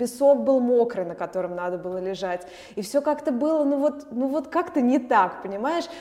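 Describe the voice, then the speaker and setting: Through noticeable background noise, a woman's high-pitched voice moves with lively intonation. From Moscow, Russia. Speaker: opera singer and actress. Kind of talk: casual interview.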